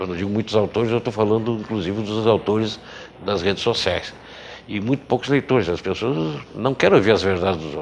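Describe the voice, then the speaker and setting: Noticeable background noise sits behind a man with a fairly low pitch. He speaks at a fairly quick pace with lively intonation. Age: 60s. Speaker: journalist and writer. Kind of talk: TV interview. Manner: halting, many fillers.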